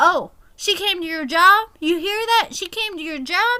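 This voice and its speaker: A woman's put-on character voice at an extremely high pitch, shouting at a moderate pace with lively intonation and big swings in loudness. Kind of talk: teasing, gossipy. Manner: screaming, very loud.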